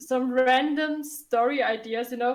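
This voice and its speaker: In a non-native accent, a woman speaks at a moderate pace with a high pitch and fairly even intonation. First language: not English. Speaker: podcast co-host. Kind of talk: casual chat. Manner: halting, searching for words.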